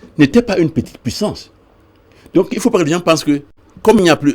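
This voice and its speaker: This man talks at a fairly quick pace. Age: 70s. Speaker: political activist. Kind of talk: TV interview. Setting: TV studio. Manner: halting, many repetitions.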